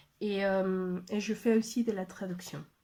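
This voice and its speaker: Her tone is dark and mellow, at a medium pitch. The woman keeps her intonation fairly even. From Mexico. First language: Spanish (speaking French). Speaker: language trainer and translator. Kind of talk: personal testimony video message. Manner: halting, many hesitations.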